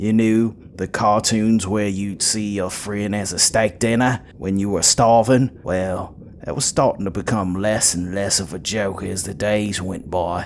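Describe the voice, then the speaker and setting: A man speaks at a fairly slow pace with a fairly low pitch. His intonation stays fairly even over noticeable background noise. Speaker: storyteller. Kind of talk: horror story narration.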